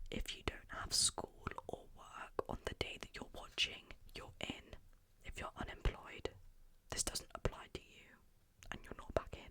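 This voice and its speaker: Whispering at a fairly slow pace with long, frequent pauses, the speaker is heard over noticeable background noise. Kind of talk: interactive ASMR game for sleep. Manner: whispered.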